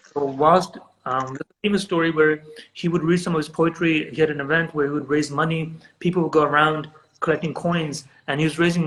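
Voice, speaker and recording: Delivered at a very fast pace, a man's speech with a Pakistani accent stays in a monotone, flat intonation at a fairly high pitch. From Britain. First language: Urdu. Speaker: photographer and writer. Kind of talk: casual interview chat.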